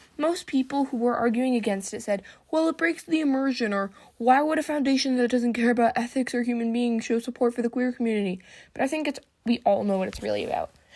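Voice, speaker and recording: Talking at a very fast pace, a woman uses an animated tone and a high pitch. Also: ordinary pitch variation. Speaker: youtuber. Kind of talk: casual commentary video. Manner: halting, frequent self-corrections.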